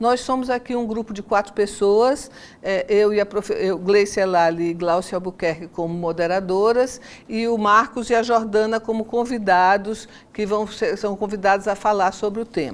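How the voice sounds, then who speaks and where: At a moderate pace, a woman with a normal speaking voice talks at a medium pitch with fairly even intonation. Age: 60s. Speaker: podcast moderator, architecture professor. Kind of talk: podcast conversation. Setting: university.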